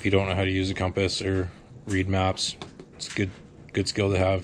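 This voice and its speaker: Over light background noise, a man with a fairly low pitch speaks at a moderate pace. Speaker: amateur radio operator and hiker; amateur radio operator. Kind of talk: casual gear walkthrough to camera. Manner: monotone.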